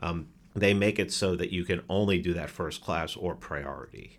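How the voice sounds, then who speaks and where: Using a New York accent, a man with a very deep, low pitch and fairly even intonation speaks at a moderate pace on a very clean recording with a silent background. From New York City, the Bronx. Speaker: podcaster. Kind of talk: casual chat. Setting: studio.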